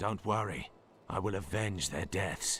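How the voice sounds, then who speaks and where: A raspy put-on character voice from a man, fairly low in pitch at a moderate pace, with clear background noise. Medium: video game. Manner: blunt.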